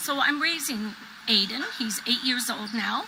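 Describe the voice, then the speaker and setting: Speaking at a fairly slow pace, a woman is heard with noticeable background noise behind her. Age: 60s. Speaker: grandparent raising grandchild. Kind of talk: personal testimony.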